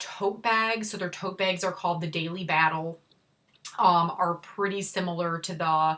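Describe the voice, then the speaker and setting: A woman with a Chicago accent speaks at a moderate pace in a bright, sharp tone. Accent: Chicago accent, self-described as horrible. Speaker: handbag YouTuber. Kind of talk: casual vlog reveal. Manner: casual, filler-heavy.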